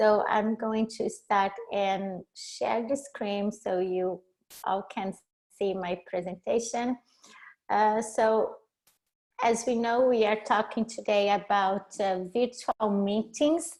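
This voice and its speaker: A woman with a Brazilian accent speaks very slowly, her fairly high pitch moving with ordinary variation. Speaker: leadership and cross-cultural coach. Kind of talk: webinar presentation. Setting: video call. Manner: halting.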